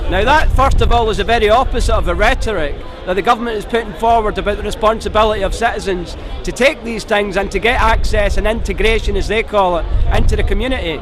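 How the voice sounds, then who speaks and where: A man speaks very fast with a Scottish accent. Room echo is audible, and background noise is noticeable. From Scotland. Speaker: protester interviewed at a rally. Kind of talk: street interview.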